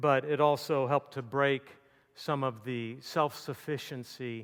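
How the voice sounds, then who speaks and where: This man talks fairly slowly at a medium pitch in a flat monotone, on a very clean recording with a silent background. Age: 60s. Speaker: campus ministry speaker. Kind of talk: sermon. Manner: halting.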